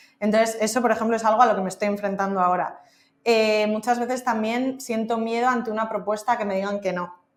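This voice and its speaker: Speaking at a fairly quick pace, a woman has an ordinary speaking voice, a medium pitch and ordinary pitch variation. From Madrid, Spain. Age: 30s. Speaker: freelance marketing consultant. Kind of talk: podcast interview.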